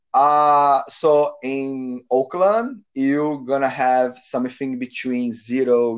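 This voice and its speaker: A man with a Brazilian accent speaks at a very slow pace in a medium pitch. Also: quiet background. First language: Portuguese. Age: 30s. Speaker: guest sharing language-learning story. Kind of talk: casual interview chat. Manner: halting, non-native English.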